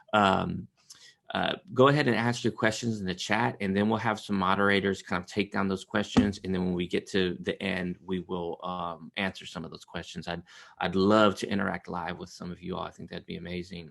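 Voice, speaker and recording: A man's very deep, low voice at a fairly quick pace, with fairly even intonation, big swings in loudness and a quiet background. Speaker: trauma therapist and trainer. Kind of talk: webinar presentation. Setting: video call webinar. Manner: fast.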